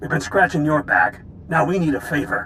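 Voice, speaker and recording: In a put-on character voice, a man growls at a fairly high pitch with lively intonation. He moves at a fairly quick pace, and clear background noise runs underneath. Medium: video game. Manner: authoritative, brisk.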